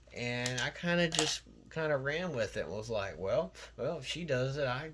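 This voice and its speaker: Noticeable background noise behind a man at a moderate pace with ordinary pitch variation. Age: 30s. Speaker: LEGO hobbyist YouTuber. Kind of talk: casual monologue vlog. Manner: lots of fillers, hesitant.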